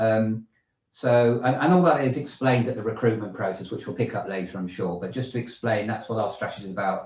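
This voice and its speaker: A man's somewhat breathy voice rushes at a very fast pace, its pitch varying in an ordinary way. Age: 60s. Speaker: managing director of a recruitment business. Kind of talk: panel discussion.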